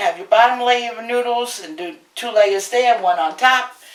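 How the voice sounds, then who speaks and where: A woman's high-pitched voice at a moderate pace, with lively intonation and noticeable background noise. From Brooklyn, New York. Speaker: home cook, cooking show host. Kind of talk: cooking tutorial. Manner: animated.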